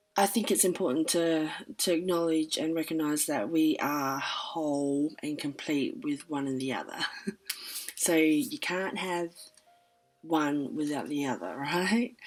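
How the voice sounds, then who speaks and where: Behind speech at a fairly slow pace, music plays. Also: woman, very deep, low pitch for a woman, ordinary pitch variation. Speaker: astrology commentator. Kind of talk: casual talk to camera.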